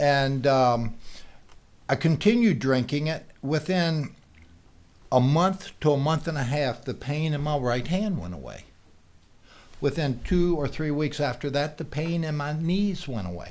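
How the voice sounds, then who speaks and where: A man talks in a normal speaking voice, pitched fairly high, with lively intonation. His pace is fairly slow. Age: 60s. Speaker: Lyme disease patient sharing a product testimonial. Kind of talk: testimony. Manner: conversational with frequent fillers.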